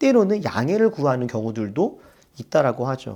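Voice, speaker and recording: On a very clean recording with a silent background, a man speaks in a dark, mellow tone with very wide pitch swings. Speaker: pastor. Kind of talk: sermon.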